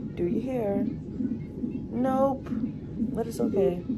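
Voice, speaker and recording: A woman speaks over loud background noise. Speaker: expectant mother vlogger. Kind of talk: casual vlog chat. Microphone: phone near.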